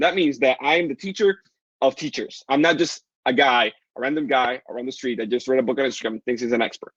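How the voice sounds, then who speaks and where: In a dry, close sound with no echo, a man talks at a very fast pace with ordinary pitch variation. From Dominican Republic. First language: Spanish. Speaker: online business coach. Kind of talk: live webinar sales pitch. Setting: livestream. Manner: animated.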